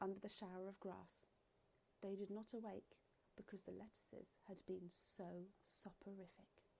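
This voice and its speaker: In an English accent, a woman speaks at a fairly slow pace. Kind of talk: children's story read-aloud.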